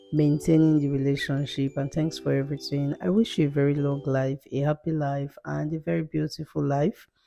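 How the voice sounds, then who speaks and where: With music in the background, a woman at a very deep, low pitch speaks at a moderate pace with ordinary pitch variation. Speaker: makeup artist. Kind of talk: voiceover narration. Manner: breathy, strained.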